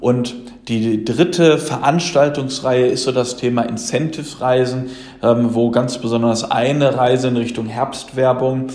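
A man with a medium-pitched voice speaks at a moderate pace with fairly even intonation over noticeable background noise. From Germany, Lower Rhine region. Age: 20s. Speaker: insurance sales manager. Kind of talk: interview.

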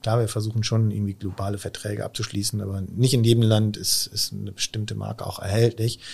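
A man speaks at a fairly quick pace in a fairly low voice. His delivery is somewhat breathy. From Israel. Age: 40s. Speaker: company IT executive. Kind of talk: podcast interview.

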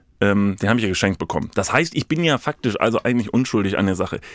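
Dry and close with no echo, a man's voice shows ordinary pitch variation. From Lower Rhine, NRW (Kevelaer, near Dutch border). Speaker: podcaster and content creator. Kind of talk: casual chat.

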